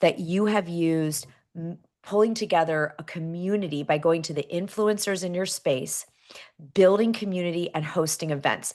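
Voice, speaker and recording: Against a quiet background, a woman talks at a moderate pace in an animated tone. Her pitch is fairly low, with ordinary variation. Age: middle-aged. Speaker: talk show host. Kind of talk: live interview show. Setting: studio with live audience.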